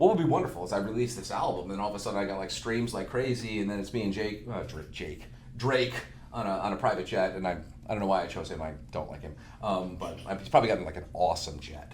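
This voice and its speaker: A man talks at a very fast pace with an American accent and a fairly low pitch. His intonation is lively, and the room echo is audible. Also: big swings in loudness. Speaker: marketing manager, musician. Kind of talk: casual chat.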